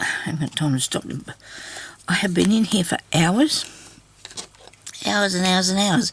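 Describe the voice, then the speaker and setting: A raspy, put-on character voice at a middle pitch delivers its lines at a moderate pace. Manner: talking with a mouthful of drink.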